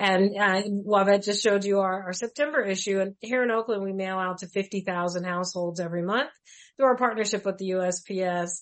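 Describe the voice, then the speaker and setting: A woman's plain, everyday voice at medium pitch, with a moderate pace and ordinary pitch variation. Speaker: life insurance policyholder sharing her story. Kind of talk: radio interview.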